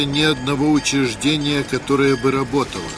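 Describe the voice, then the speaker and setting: A man with a fairly high pitch talks while noticeable background noise sits behind him. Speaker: documentary narrator reading quoted documents. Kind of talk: history documentary narration, reading aloud documents and diary excerpts. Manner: dry, matter-of-fact reading of figures and reports.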